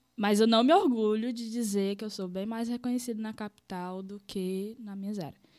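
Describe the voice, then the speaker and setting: A woman with an unremarkable speaking voice and a fairly high pitch speaks at a moderate pace with fairly even intonation. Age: 20s. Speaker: graffiti artist and teacher. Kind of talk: casual chat. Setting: live-streamed studio podcast.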